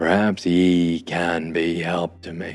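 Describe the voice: A man puts on a gruff, growling character voice at a very deep, low pitch, with music in the background. He speaks at a very slow pace in a monotone, flat intonation.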